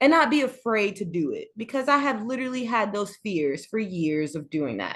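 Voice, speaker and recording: A woman with a fairly high pitch and an animated tone speaks with very wide pitch swings against a quiet background. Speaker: podcast co-host. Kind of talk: casual chat.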